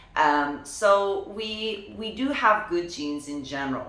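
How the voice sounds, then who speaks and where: A woman speaks with audible room echo and noticeable background noise. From Lithuania. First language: Lithuanian. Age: 30s. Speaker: professional dancer. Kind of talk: personal vlog. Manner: casual, conversational.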